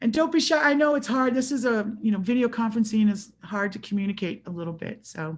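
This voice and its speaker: At a very fast pace with hardly any pauses, a woman speaks in a somewhat breathy voice, fairly high in pitch, with lively intonation. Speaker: water quality specialist. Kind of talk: webinar presentation. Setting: video call.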